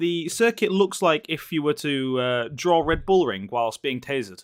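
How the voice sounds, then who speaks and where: Here is a man with a Yorkshire accent and a fairly high pitch. His pitch swings very widely. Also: moderate pace. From Yorkshire, northern England. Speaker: sim racing commentator. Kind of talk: live commentary. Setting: livestream commentary box. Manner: animated.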